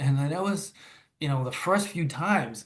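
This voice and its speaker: A somewhat breathy man with lively intonation at a moderate pace. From Massachusetts, near Boston. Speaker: author and father. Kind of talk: interview. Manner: halting, many repeated words.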